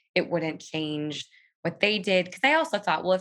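Delivered in a Californian accent, the speech moves at a moderate pace with ordinary pitch variation. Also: woman. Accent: Californian American. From Southern California. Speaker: writer and podcaster. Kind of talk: faith testimony in interview.

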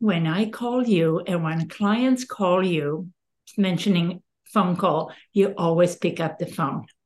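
Woman at medium pitch, fairly slow, with ordinary pitch variation. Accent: Serbian. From Serbia. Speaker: podcast host and real estate advisor. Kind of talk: casual interview chat.

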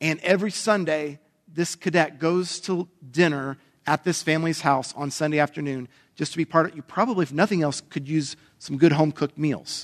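In a normal speaking voice, a man talks at a fairly quick pace and fairly high pitch, with ordinary pitch variation and a dry, close sound with no echo. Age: 40s. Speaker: pastor. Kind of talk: sermon.

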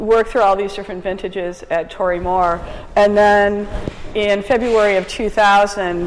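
At a fairly slow pace, a woman speaks at a medium pitch over noticeable background noise. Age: 50s. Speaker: winery owner and winemaker. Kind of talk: oral history interview.

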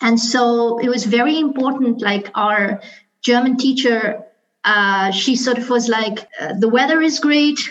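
With audible room echo, a woman speaks fairly slowly at a high pitch, using ordinary pitch variation. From Pakistan, Karachi. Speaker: business manager, alumna. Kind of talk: panel discussion.

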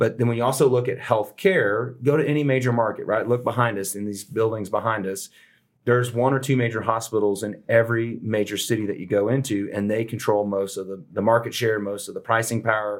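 On a very clean recording with a silent background, a man with an American accent and an ordinary speaking voice talks at a medium pitch and a fairly quick pace with fairly even intonation. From Texas (Houston). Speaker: insurance broker. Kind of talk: interview.

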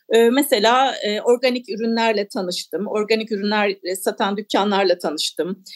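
A woman at a fairly slow pace, dry and close with no echo. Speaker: author. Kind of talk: radio interview.

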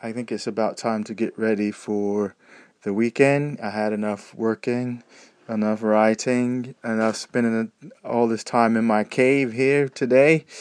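In a dry, close sound with no echo, a man of medium pitch talks with fairly even intonation and an American accent. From United States. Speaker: podcaster, audio blogger. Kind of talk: casual solo audio diary. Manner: casual, hesitant with fillers.

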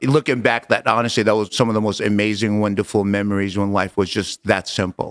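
A man speaks at a fairly quick pace and a fairly low pitch. The sound is dry and close, with no echo. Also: very clean recording, silent background. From Jordan. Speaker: entrepreneur. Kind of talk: casual interview.

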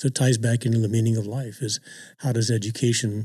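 A man speaks at a medium pitch in a dark, mellow tone that is somewhat breathy. His intonation is fairly even, and the recording is very clean with a silent background. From immigrant family, grew up in California. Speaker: university system chancellor. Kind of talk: casual conversation. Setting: office.

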